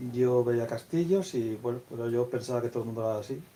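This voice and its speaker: The speaker is a man with a medium pitch. His pace is fairly quick. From Castile, Spain. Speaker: author, teacher. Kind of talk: book presentation talk. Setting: bookstore event with audience. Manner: hesitant, repeats words.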